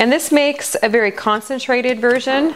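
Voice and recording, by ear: Speaking at a fairly slow pace, a woman uses a fairly high pitch with ordinary pitch variation.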